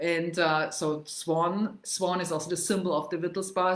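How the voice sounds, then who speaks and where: Speaking at a moderate pace, a woman with a Bavarian German accent keeps her fairly low voice fairly even in intonation. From Germany, Munich (Bavaria). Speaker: travel and culture vlogger. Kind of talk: casual livestream talk on history and language. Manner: halting, many fillers. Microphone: laptop mic, first time.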